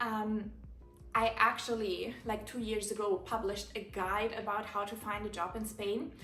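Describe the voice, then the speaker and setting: Music in the background and audible room echo behind a woman's fairly high-pitched voice. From Germany. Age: 20s. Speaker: content creator. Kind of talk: casual Q&A vlog monologue. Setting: home living room, recording alone. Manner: animated.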